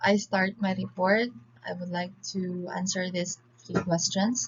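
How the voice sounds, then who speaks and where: A woman with a Filipino accent speaks at a medium pitch in a somewhat breathy voice. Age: 20s. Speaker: civil engineering student. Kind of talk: class presentation. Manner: formal.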